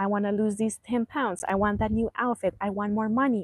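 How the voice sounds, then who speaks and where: Music plays in the background as a woman speaks in a Spanish accent. Her pitch is medium and her pace moderate. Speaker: life coach. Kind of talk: live stream motivational talk. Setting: outdoors, live stream. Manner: casual, halting.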